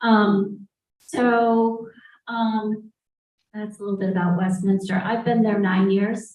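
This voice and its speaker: A woman speaks very slowly, at a fairly high pitch. Her voice is somewhat breathy, with fairly even intonation. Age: 60s. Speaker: senior living community representative. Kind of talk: panel discussion. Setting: live event with audience in the room.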